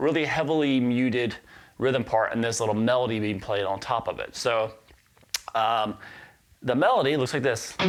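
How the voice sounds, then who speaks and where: A man's medium-pitched voice with an American accent and long, frequent pauses, music in the background. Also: ordinary pitch variation, moderate pace. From US South. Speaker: guitar teacher. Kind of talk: casual chat; tutorial. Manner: casual, many fillers.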